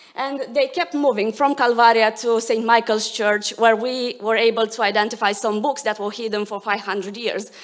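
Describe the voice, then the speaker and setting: A woman's fairly high voice at a moderate pace, fairly even intonation, hardly any pauses. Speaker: academic researcher. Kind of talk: conference talk. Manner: hesitant, many fillers.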